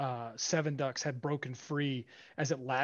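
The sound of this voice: An unforced reading voice, intonation held fairly even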